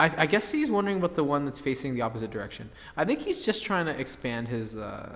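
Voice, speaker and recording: Very fast speech with a slight Canadian accent and very wide pitch swings. Noticeable background noise sits behind it. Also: man, fairly high pitch for a man. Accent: light Canadian. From Canada. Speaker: tournament commentator. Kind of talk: live commentary. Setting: game store live stream.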